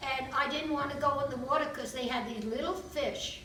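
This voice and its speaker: A woman with an American accent, high in pitch with ordinary pitch variation, amid noticeable background noise and audible room echo. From New York (Bronx). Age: 80s+. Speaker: grandmother giving a birthday speech. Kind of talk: personal speech at a birthday party. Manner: halting, with many fillers.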